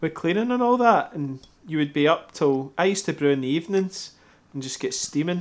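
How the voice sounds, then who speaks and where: Speaking with a Scottish accent, a man talks at a fairly quick pace and a high pitch with lively intonation. The recording is very clean, the background silent. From Scotland. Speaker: homebrewer and YouTuber, guest co-host. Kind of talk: casual chat.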